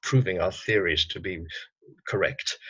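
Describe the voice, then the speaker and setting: A man at a moderate pace, somewhat breathy. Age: 60s. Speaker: psychotherapist and activist. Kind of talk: interview conversation.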